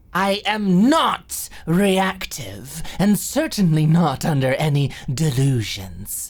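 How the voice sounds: A woman puts on a character voice, pitched low for a woman. She talks at a slow pace with big pitch swings.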